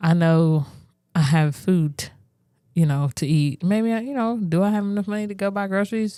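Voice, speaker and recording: Her pace stays moderate. The woman's intonation rises and falls in a lively way. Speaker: church minister and podcast co-host. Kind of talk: casual podcast conversation.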